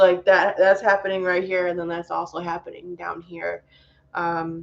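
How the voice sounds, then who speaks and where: Speaking in a monotone, flat intonation, a woman shows big swings in loudness. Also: moderate pace. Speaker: vlogger documenting health issue. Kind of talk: casual vlog. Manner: hesitant, many fillers.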